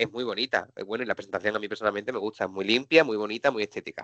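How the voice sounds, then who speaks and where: With a southern Spanish accent, a man talks at a very fast pace in a bright, sharp tone, the sound dry and close with no echo. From Seville, Andalusia, southern Spain. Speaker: technology presenter and trainer. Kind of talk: live webinar software demo. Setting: online webinar.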